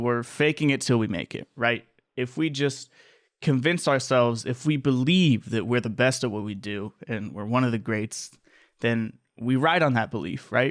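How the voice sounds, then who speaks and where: At a moderate pace, a man with medium pitch and ordinary pitch variation speaks in an ordinary speaking voice. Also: very clean recording, silent background. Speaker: podcast host. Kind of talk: solo podcast monologue. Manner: casual, conversational.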